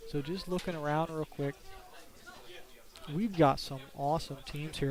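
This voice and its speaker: A man speaks at a moderate pace in a fairly high pitch with ordinary pitch variation. Noticeable background noise runs behind him. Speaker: game commentator. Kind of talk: live commentary. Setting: live stream at tournament venue.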